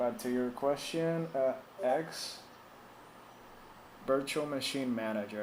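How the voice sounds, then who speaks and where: With audible room echo, a man speaks at a medium pitch with ordinary pitch variation. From Puerto Rico. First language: Spanish. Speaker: tech support streamer. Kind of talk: live stream tech support chat. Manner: casual, hesitant with fillers.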